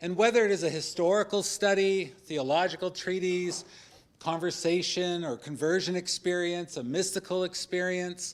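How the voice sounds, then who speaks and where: A loud man's voice, high in pitch, at a moderate pace with fairly even intonation. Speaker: professor. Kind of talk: panel debate. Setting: stage with audience. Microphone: speaking without the mic.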